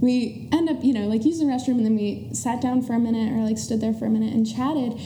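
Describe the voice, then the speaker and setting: The intonation stays fairly even. Noticeable background noise and audible room echo surround the voice. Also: woman. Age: 20s. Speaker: small business owner. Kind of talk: casual chat.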